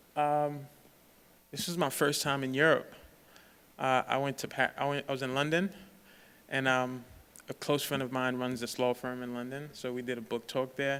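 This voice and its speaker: A man with an American accent speaks in a flat, monotone way at a moderate pace, with long, frequent pauses. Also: medium pitch for a man. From Haiti, later New York. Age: 20s. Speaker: author and speaker. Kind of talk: campus talk with slides. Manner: conversational, many fillers.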